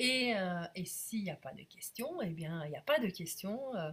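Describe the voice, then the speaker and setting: A woman speaks at a fairly slow pace with lively intonation. Her medium-pitched voice is somewhat breathy. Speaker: business coach. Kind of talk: live stream sales pitch. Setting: live video stream. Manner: hesitant with frequent fillers.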